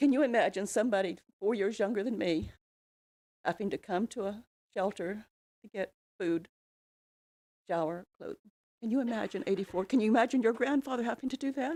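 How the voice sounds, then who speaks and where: A woman with an American accent speaks fairly quickly in a fairly high voice with a dark, mellow tone and ordinary pitch variation, leaving long, frequent pauses. The sound is dry and close, with no echo. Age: 80s+. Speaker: public commenter at city council meeting. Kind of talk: public comment speech. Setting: council chamber.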